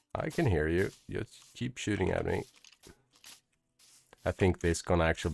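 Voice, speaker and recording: In a Swedish accent, a man speaks with a very deep, low pitch and ordinary pitch variation, the sound dry and close with no echo. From Sweden. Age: 40s. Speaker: gaming YouTuber. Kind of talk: let's play commentary. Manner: animated.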